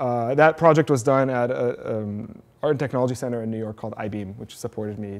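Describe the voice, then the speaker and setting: At a very fast pace, a man talks with an Arabic accent. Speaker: programmer and educator giving a tech talk. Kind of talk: conference talk. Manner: casual, many filler words.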